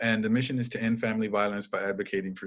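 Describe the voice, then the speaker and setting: Here a man speaks at a fairly low pitch. His intonation stays fairly even. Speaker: domestic violence educator and trainer. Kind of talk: presentation. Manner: fast.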